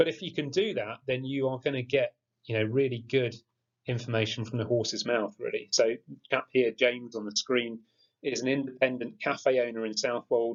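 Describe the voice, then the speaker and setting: This man has an English accent and a medium pitch. He moves at a moderate pace with fairly even intonation. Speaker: geography teacher. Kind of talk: tutorial. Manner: monotone.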